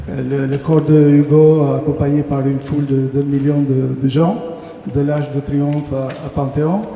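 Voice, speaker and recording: A man at a fairly high pitch amid noticeable background noise and audible room echo. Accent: Albanian. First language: Albanian (speaking French). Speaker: poet. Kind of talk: interview then poetry reading. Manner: halting, many hesitations.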